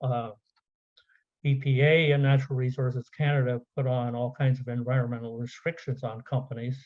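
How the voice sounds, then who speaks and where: A somewhat breathy man at a medium pitch speaks at a fairly quick pace in a monotone, flat intonation. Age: 70s. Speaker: conference speaker, software business owner. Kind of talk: conference presentation. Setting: virtual conference. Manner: halting, many fillers.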